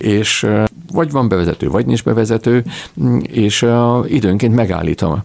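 A man's fairly low voice at a moderate pace, with a dry, close sound and no echo. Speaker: classical philologist and theatre historian. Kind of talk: radio interview. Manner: halting, many repeated words.

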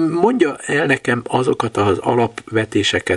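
A man is heard in a dry, close sound with no echo. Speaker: radio host. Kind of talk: radio interview.

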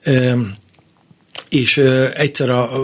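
The pitch is medium. It belongs to a man. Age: 50s. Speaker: jazz guitarist and radio presenter. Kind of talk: interview. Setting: studio.

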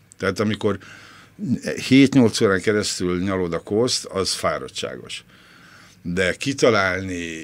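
A man's ordinary speaking voice with ordinary pitch variation. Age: 60s. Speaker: former film critic, cleaner. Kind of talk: interview.

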